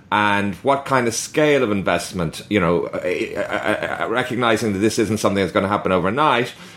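At a moderate speed, the speaker has an ordinary speaking voice. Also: man. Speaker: podcast host. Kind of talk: interview.

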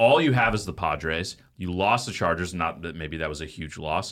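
In a very clean recording with a silent background, a man with an American accent talks in a plain, everyday voice at a fairly quick pace, with ordinary pitch variation. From Texas, Dallas. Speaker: podcast host. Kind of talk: casual chat. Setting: studio.

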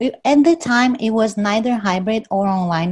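Somewhat breathy, a woman with a Portuguese accent talks at a fairly slow pace with lively intonation. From Brazil. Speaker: professor. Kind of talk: casual chat.

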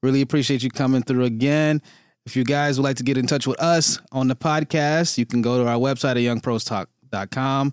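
With an American accent, this speaker talks at a fairly quick pace with very even loudness and fairly even intonation, in a dry, close sound with no echo on a very clean recording with a silent background. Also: man, medium pitch for a man. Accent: Detroit American, noticeable to Torontonians. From Detroit, US. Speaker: podcast host. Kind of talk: casual interview chat.

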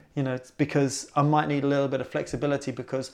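Speaking very fast in a flat monotone, a man with a British accent has a fairly high pitch, captured in a very clean recording with a silent background. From Britain. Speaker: podcast host and personal trainer. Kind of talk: casual interview.

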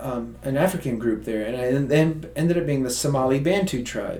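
Audible room echo surrounds a man speaking with an American accent at medium pitch, moderate pace, and ordinary pitch variation. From US South. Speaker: nonprofit co-founder. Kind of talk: interview.

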